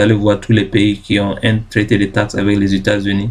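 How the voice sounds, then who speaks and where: Here a man speaks at a moderate pace. His pitch sits fairly low. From Ghana. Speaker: YouTube tutorial creator. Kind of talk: tutorial. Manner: halting, many fillers and self-corrections.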